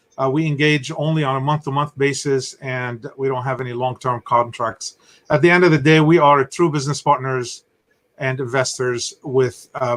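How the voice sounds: A man at a moderate pace, medium in pitch, fairly bright in tone, with fairly even intonation.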